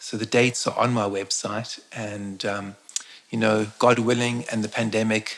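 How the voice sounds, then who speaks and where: Noticeable background noise behind a man's fairly low pitch, monotone, flat intonation and moderate pace. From South Africa, Eastern Cape. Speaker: shaman and spiritual teacher. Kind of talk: interview on a live stream. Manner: halting, frequent word repetitions.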